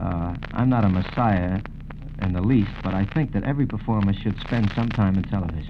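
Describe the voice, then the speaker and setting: A man speaks at a fairly quick pace with a fairly low pitch and ordinary pitch variation. Noticeable background noise runs underneath. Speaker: singer and television host being interviewed. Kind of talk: radio interview answer. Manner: conversational, relaxed, warm.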